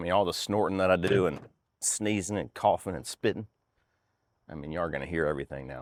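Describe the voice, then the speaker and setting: A man with a very deep, low voice and vocal fry talks at a very fast pace, with ordinary pitch variation and long, frequent pauses. The recording is very clean and dry, close with no echo, and the background is silent. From North Carolina. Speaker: firewood splitting vlogger. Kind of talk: casual vlog narration. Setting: outdoors. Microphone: new clip-on noise canceling microphone with furry windscreen.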